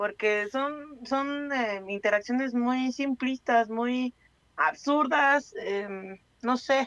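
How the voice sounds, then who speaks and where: This woman speaks at a very slow pace. Her pitch is high. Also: ordinary pitch variation. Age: 30s. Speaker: radio co-host. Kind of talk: casual chat.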